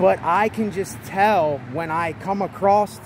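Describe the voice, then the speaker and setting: Very slow speech with lively intonation, dry and echo-free, over light background noise. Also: man. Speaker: vlogger. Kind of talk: casual vlog chat. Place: street. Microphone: phone near.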